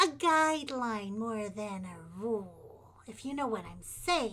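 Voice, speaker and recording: In a put-on character voice, a woman speaks fairly slowly and sounds strained, her fairly high pitch swinging very widely and her loudness rising and falling sharply. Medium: actual play. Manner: folksy, calls people dearie.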